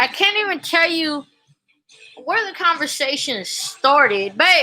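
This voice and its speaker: With music playing in the background, a woman speaks at an extremely high pitch, her voice raised and projected. Her pitch swings very widely while her pace stays fairly slow. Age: 40s. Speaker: YouTuber vlogger. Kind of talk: casual monologue vlog. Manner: animated.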